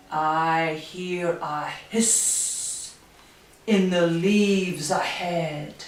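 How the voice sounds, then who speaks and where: Using a put-on character voice, a woman speaks at a very slow pace in a fairly low pitch, with a slight echo. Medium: read story.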